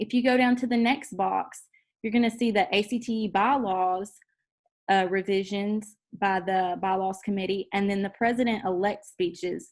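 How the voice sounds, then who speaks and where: A plain, everyday voice speaks at a moderate pace with fairly even intonation. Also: woman, medium pitch for a woman. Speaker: high school teacher and association president. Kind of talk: tutorial.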